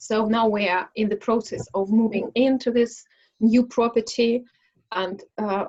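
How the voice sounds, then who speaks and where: A woman with a Russian accent speaks fairly slowly at a fairly high pitch, in monotone, flat intonation. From Russia, Smolensk. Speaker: English conversation club host. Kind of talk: casual self-introduction in online speaking club. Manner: halting, many fillers.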